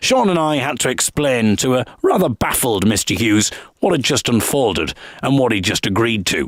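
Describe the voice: It's plain reading aloud, with lively intonation.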